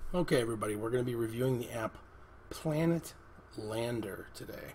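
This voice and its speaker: Speaking at a fairly quick pace, a man uses a medium pitch. Audible room echo surrounds his voice. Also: ordinary pitch variation. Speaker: app reviewer. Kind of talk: tutorial. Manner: hesitant, many fillers.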